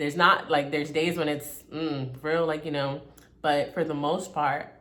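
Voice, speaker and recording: In a room with audible echo, a woman speaks at a fairly slow pace in a very deep, low voice. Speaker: self-help vlogger. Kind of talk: casual motivational talk. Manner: stern in places.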